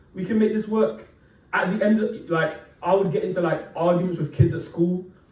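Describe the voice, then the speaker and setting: Audible room echo surrounds a man with a high pitch who speaks at a moderate pace. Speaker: preacher. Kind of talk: sermon. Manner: casual, conversational with fillers.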